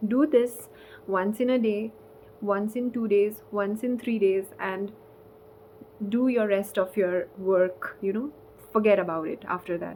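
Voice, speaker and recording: A dark, mellow voice with a non-native accent moves at a fairly slow pace. Its pitch variation is ordinary, and there are long, frequent pauses. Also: woman, medium pitch for a woman. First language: not English. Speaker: spiritual content creator. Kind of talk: casual vlog talk. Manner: halting.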